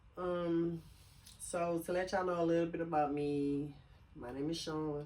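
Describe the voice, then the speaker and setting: A woman's voice comes with audible room echo. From US South, Lake Charles, Louisiana. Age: 40s. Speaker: video blogger. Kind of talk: casual chat. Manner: casual, many filler sounds.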